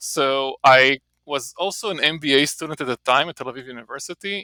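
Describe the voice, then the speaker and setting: On a very clean recording with a silent background and a dry, close sound with no echo, a man with an Israeli accent speaks in a fairly high pitch with ordinary variation and a bright, sharp tone. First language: Hebrew. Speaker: marketing professor. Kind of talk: podcast interview. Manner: casual, with many fillers and repetitions.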